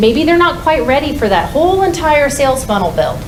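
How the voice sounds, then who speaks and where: Lively in intonation and fairly quick, a woman speaks in a room with audible echo and noticeable background noise. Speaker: conference speaker. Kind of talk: conference talk. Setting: stage with audience. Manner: fast; loud.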